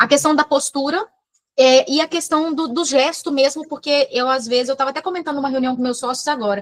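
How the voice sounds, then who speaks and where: Animated tone at a fairly quick pace, with ordinary pitch variation and a dry, close sound free of echo. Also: woman, high pitch for a woman. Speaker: entrepreneur workshop participant. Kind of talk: self-assessment in workshop. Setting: video call. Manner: fast; animated, gestures a lot.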